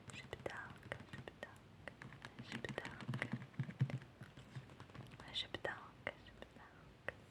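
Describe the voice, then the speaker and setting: With noticeable noise behind it, a whisper moves along at a very slow pace. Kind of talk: ASMR whisper video. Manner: whispered.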